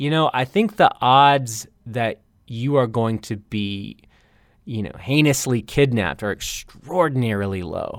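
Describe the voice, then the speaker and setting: An American accent comes through in a man's plain, everyday voice at medium pitch, with lively intonation and a fairly slow pace. The recording is very clean, with a silent background. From US South, North Carolina. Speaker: journalist. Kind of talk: interview.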